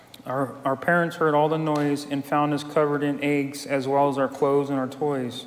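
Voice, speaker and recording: A fairly high-pitched man with an American accent at a moderate pace, amid noticeable background noise and audible room echo. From California. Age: 50s. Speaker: recovery group member. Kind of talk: testimony.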